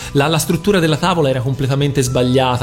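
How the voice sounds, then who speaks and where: A man talks in a fairly high pitch. Background noise is noticeable. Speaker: radio host. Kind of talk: casual chat on live radio. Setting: radio studio, sharing one microphone. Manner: sitting far from the microphone.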